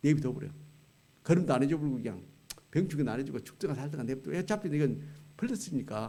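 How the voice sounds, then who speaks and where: There is vocal fry in a man's dark, mellow tone, with audible room echo. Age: 70s. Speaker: retired pastor, guest preacher. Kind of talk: sermon. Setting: church. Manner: conversational, colloquial.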